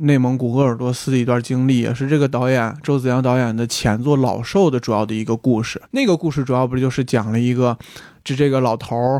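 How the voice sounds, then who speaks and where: Speaking at a fairly quick pace with fairly even intonation, a man with a medium pitch and a dark, mellow tone is heard on a very clean recording against a silent background. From Inner Mongolia, Baotou. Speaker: podcast guest. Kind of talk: casual chat.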